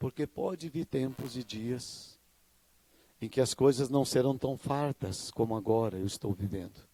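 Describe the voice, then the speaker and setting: At a very slow pace, a man with a medium pitch and a dark, mellow tone speaks with ordinary pitch variation in a dry, close sound with no echo. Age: 60s. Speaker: pastor. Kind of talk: sermon.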